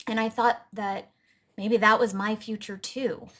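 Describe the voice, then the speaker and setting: A woman talks at a fairly slow pace, her voice fairly high and somewhat breathy. The recording is very clean, with a silent background. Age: 30s. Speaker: health coach and vlogger. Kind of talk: personal testimony to camera.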